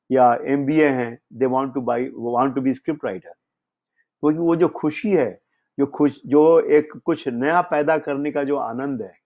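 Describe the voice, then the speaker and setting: This man has a normal speaking voice, fairly high in pitch, with ordinary pitch variation and a moderate pace. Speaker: screenwriter. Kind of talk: storytelling interview.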